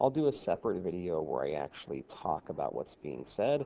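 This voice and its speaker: A man speaks at a moderate pace with vocal fry, his pitch swinging very widely. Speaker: French teacher. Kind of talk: teacher instructions to students. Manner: casual, hesitant.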